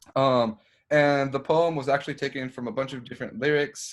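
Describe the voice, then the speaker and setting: In a very clean recording with a silent background, a man with a Spanish accent speaks at a moderate pace. His pitch is medium, with ordinary pitch variation. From Mexican-American. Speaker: composer. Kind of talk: casual chat.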